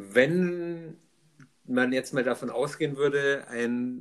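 A man is speaking in a fairly high pitch. His pitch varies in an ordinary way. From Upper Franconia, Germany. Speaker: podcast co-host. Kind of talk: casual chat.

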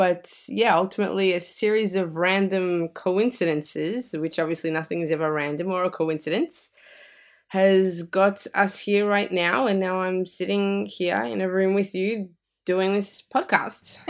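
In an Australian accent, a woman speaks at a fairly slow pace and medium pitch, with ordinary pitch variation. The recording is very clean and the background silent. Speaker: energy and mindset coach. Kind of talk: casual interview chat.

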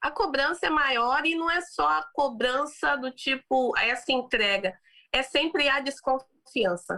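A woman's raised, projected voice, high and bright with a sharp tone, very slow, with lively intonation and very even loudness. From Brazil. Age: 30s. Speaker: business executive and founder. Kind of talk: interview about personal story.

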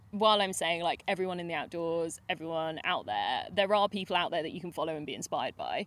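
In a very clean recording with a silent background, a woman with a fairly low pitch speaks in a normal speaking voice. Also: ordinary pitch variation, fairly quick pace, hardly any pauses. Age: 30s. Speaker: adventure travel and sailing trip organiser. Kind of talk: casual interview chat.

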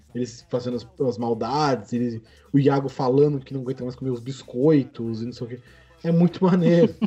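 A man talks at a moderate pace in a dark, mellow tone that is somewhat breathy. His pitch moves in an ordinary way. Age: 20s. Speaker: podcast host. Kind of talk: casual chat.

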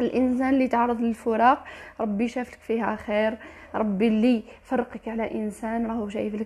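With an Algerian accent, a woman talks at a moderate pace in a fairly high voice. Her intonation is monotone and flat. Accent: Algerian Arabic with French code-switching. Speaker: motivational vlogger. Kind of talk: motivational monologue. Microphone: poor sound quality.

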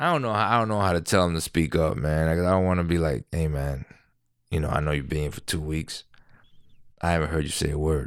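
A man with an American accent speaks at a very fast pace in a very deep, low pitch. His ordinary pitch variation comes through a very clean recording with a silent background. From New York City. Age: 30s. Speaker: podcast host. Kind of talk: casual solo podcast monologue. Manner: rambling, conversational storyteller.

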